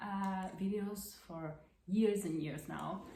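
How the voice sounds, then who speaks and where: In an Italian accent, a woman speaks at a very slow pace with a medium pitch. Her intonation is fairly even, and the room echo is audible. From central Italy. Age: 20s. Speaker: crafting podcaster. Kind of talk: casual monologue. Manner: halting, many fillers.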